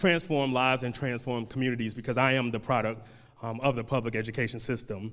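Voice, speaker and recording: In an American accent, a man uses an ordinary speaking voice at a medium pitch with fairly even intonation. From Durham, North Carolina. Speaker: school board candidate. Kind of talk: candidate forum speech.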